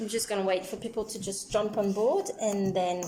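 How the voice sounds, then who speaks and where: Noticeable background noise sits under the speech. The pitch shows ordinary variation. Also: woman. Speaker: beekeeper and candle maker. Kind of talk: live-stream tutorial. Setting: live video at home with her kids. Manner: loud.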